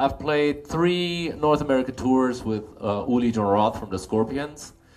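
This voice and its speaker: This man speaks with a German accent at a moderate pace. His pitch sits in the medium range. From Germany. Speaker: bass player and clinic instructor. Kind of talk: live clinic talk. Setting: music store clinic with audience.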